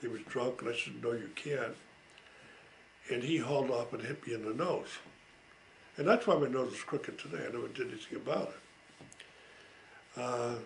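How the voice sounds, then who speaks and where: A man talks with long, frequent pauses. Room echo is audible. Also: moderate pace. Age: 80s+. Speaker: family elder telling life stories. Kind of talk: oral history recollection. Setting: home recording. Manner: hesitant with frequent fillers.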